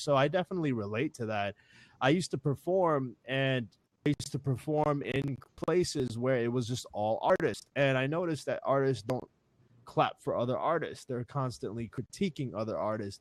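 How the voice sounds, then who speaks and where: Heard in a dry, close sound with no echo, a man talks at a moderate pace at medium pitch with ordinary pitch variation. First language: not English. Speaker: hip hop artist. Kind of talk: panel interview talk.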